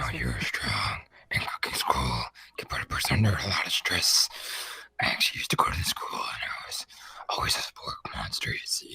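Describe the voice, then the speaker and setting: A man whispers in a raspy, put-on character voice at a fairly quick pace. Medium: game stream. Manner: awkward, apologetic.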